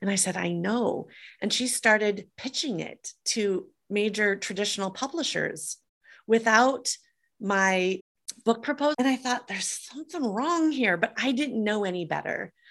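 With lively intonation, an ordinary speaking voice moves at a moderate pace against a quiet background. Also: woman, fairly high pitch for a woman. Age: 50s. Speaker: author and entrepreneur. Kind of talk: interview.

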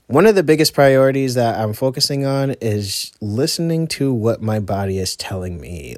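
A man talks at a fairly slow pace. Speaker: solo podcast host. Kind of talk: casual monologue. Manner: rambling, hesitant with fillers.

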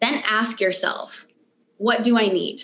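A woman speaks in a General American accent at a moderate pace. Her pitch is fairly high. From US, Michigan. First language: Romanian. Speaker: mindset coach. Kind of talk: interview conversation.

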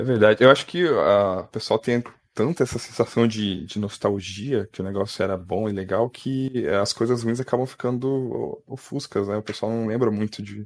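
A man's ordinary speaking voice at a moderate pace with fairly even intonation, on a very clean recording with a silent background. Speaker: podcast host and game moderator. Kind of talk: casual chat.

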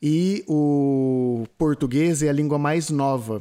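This man's voice carries a dark, mellow tone. His pitch is fairly high, with ordinary pitch variation. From Brazil. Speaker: podcast host. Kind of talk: casual chat.

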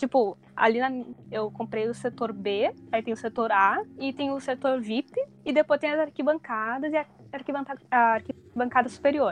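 A woman speaks at a moderate pace in a high voice. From southern Brazil, Porto Alegre. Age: 20s. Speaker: wrestling fan who attended the event. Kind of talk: casual chat.

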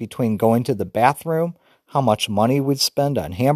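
The background stays quiet. A natural reading voice carries ordinary pitch variation.

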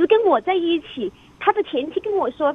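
A woman talks at a fairly quick pace in an extremely high pitch with very wide pitch swings. Noticeable background noise is present. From Chongqing, China. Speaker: radio call-in listener. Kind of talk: personal account to an advice host.

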